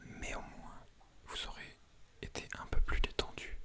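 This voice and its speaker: A man whispering, with noticeable background noise. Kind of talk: whispered ASMR talk to camera. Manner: whispering, casual, self-deprecating.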